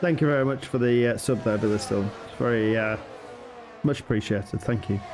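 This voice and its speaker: Over noticeable background noise, a man speaks at a fairly quick pace and a medium pitch, with ordinary pitch variation and very even loudness. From northern England. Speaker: sim racing commentator. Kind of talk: live commentary. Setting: live stream.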